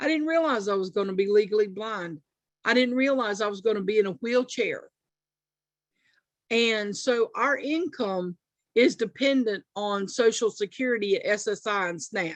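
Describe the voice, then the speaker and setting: At a moderate pace, a woman with an unremarkable speaking voice talks at a fairly high pitch with lively intonation. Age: 50s. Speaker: food program participant, grandmother. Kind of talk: panel testimony.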